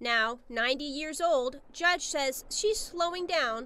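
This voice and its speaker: The voice is raised and projected, with a bright, sharp tone. The pace is fairly slow. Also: woman. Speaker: reporter. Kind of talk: TV news narration.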